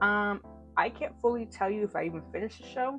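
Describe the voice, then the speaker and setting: With music playing in the background, a woman speaks at a medium pitch with ordinary pitch variation. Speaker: TV series reviewer. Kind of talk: casual talk to camera. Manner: rambling, stuttering.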